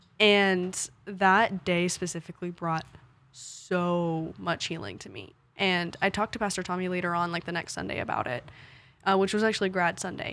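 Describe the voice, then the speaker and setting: A woman with an American accent uses an unremarkable speaking voice, fairly low in pitch, with fairly even intonation and a moderate pace, on a very clean recording with a silent background. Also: big swings in loudness. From Fort Worth, Texas. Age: young. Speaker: university student. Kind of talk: casual chat.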